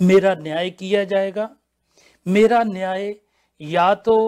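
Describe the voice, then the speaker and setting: This man's pitch is high. His intonation stays fairly even. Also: very clean recording, silent background. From India. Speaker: pastor. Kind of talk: religious panel discussion.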